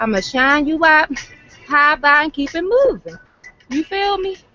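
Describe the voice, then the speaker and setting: A woman's animated tone comes through noticeable background noise. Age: 20s. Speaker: vlogger. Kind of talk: casual chat.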